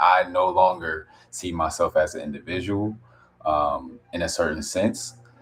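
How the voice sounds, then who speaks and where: A quiet man's voice of very deep, low pitch, amid noticeable background noise. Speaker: wellness content creator. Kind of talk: casual live stream chat. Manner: halting, many restarts; quiet, low voice.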